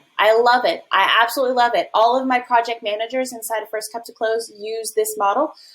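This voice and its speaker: A woman's high-pitched voice at a fairly quick pace, with big swings in loudness. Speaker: affiliate manager and business coach; business coach. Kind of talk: tutorial. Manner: fast. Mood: upbeat, enthusiastic. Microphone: webcam.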